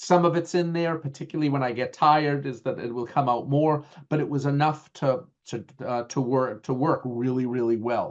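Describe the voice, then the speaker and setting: A man with a strong Boston accent, fairly high-pitched for a man, at a moderate pace with ordinary pitch variation. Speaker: IT management trainer. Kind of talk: webinar lecture. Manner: halting, many fillers.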